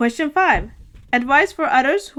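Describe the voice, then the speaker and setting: With an American accent, a woman uses a normal speaking voice with lively intonation at a moderate pace. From US and Sweden. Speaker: book vlogger. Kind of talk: casual vlog talk.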